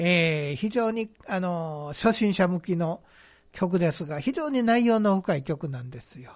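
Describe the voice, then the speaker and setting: A man speaks at a high pitch and a fairly slow pace, with big swings in loudness. The recording is very clean, with a silent background. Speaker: band director and author. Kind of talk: casual radio chat.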